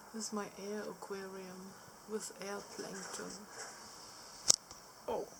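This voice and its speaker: Soft-spoken and very slow, a woman with a medium pitch is heard through audible room echo and noticeable background noise. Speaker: vlogger. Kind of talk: casual vlog talk. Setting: outdoors on balcony.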